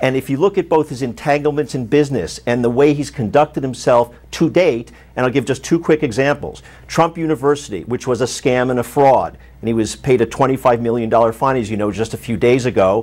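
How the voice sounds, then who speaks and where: A man talks fairly quickly, his pitch varying an ordinary amount. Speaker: political strategist. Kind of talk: panel debate. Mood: critical, indignant. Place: studio.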